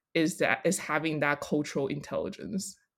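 This is a very clean recording with a silent background. The voice carries an American accent and ordinary pitch variation. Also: woman. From Taiwan and US, third culture kid. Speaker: senior product designer. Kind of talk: casual interview.

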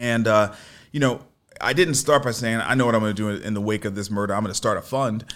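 A man with an American accent speaks very fast. His pitch is medium, with ordinary variation. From US Northeast, Brooklyn, New York. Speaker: venture capitalist and entrepreneur. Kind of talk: radio interview. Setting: radio studio.

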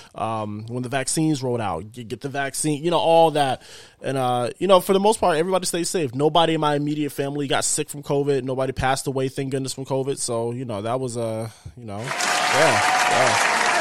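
A man with a plain, everyday voice, medium in pitch, at a fairly quick pace with ordinary pitch variation. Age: 20s. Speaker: podcast host and gamer. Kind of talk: casual chat.

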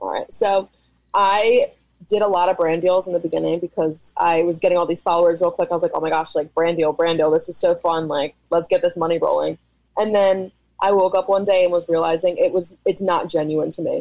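A woman with a fairly low-pitched, ordinary speaking voice talks at a fairly quick pace with fairly even intonation. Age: 20s. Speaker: esthetician and social media creator. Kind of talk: casual chat.

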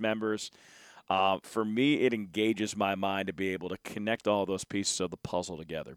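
Very cleanly recorded against a silent background, a man talks in a normal speaking voice at a moderate pace and fairly low pitch, the sound dry and close with no echo. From Philadelphia. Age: 30s. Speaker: baseball broadcaster. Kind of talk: casual chat. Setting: stadium press box.

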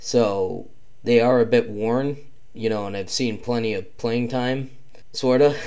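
Audible room echo surrounds a man talking at a fairly slow pace, medium in pitch, with fairly even intonation. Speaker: podcast host. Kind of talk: casual monologue about lacrosse. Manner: hesitant, many fillers.

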